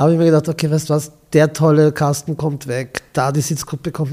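With a dark, mellow tone and a fairly high pitch, a man talks at a moderate pace in a somewhat breathy voice. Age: 60s. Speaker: gallery owner and event host. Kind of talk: casual interview chat. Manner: animated.

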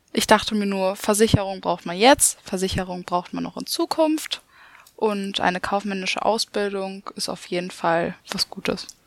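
A woman talks at medium pitch and a moderate pace in a normal speaking voice. Her pitch varies in an ordinary way, while her loudness swings widely. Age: young. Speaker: insurance apprentice. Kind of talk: podcast co-moderation.

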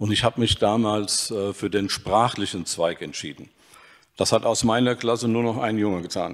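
Speaking at a fairly slow pace, a man uses an ordinary speaking voice with a fairly low pitch and fairly even intonation, on a very clean recording with a silent background. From Hesse, Germany (Dillenburg). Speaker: ancient historian. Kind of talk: panel discussion.

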